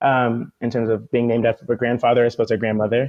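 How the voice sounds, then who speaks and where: The speaker is a man with an American accent. He talks in a monotone, flat intonation. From US West Coast, Oakland, California. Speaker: musician and organizer. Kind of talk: casual interview conversation. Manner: fast.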